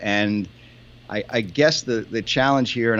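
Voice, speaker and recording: With an American accent, a man uses a plain, everyday voice at a fairly low pitch, his intonation fairly even. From United States. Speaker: podcast co-host. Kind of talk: casual chat.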